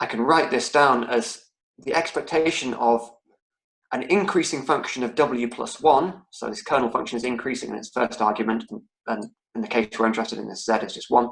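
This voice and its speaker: There are big swings in loudness from a man whose medium pitch shows ordinary pitch variation. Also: fairly quick pace. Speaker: lecturer. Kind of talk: online lecture. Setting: online lecture. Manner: fast; halting, many repetitions.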